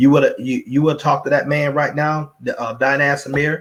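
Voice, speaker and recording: Somewhat breathy, a man with a fairly high pitch speaks with an Alabama accent. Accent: Southern US, Alabama. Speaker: network marketing speaker. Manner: repetitive, rambling.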